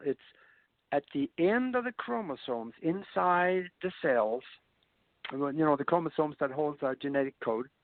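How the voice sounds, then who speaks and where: A man at a moderate pace, with very wide pitch swings and long, frequent pauses. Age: 70s. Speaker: spiritual science speaker. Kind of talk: interview talk. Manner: halting.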